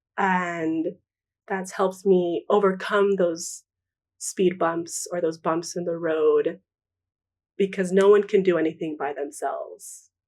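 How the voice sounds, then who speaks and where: On a very clean recording with a silent background, a woman talks fairly slowly at medium pitch with fairly even intonation. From US West Coast, Pomona, California. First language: Spanish. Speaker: artist. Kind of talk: interview.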